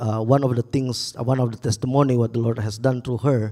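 In an Indonesian accent, a man speaks at a fairly quick pace with a dark, mellow tone and fairly even intonation over a quiet background. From Indonesia, Makassar. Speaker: pastor. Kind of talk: testimony. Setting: church. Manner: halting. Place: church. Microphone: handheld.

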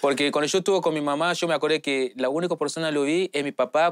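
A man with a fairly high pitch at a very fast pace. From Nigeria, Lagos; Nigeria. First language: English or a Nigerian language (speaking Spanish). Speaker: footballer; interview guest. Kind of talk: interview. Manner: halting non-native Spanish. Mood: reflective, personal memories. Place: bar.

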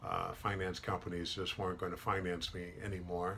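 The pace is moderate. Light background noise is present. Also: man. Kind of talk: personal testimony to camera. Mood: earnest, reflective about hardship. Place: office. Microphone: webcam.

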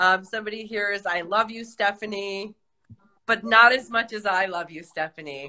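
The pitch shows ordinary variation. A woman is talking at a moderate pace. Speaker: actress, director hosting a live chat. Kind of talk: casual live chat. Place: home room. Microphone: phone near.

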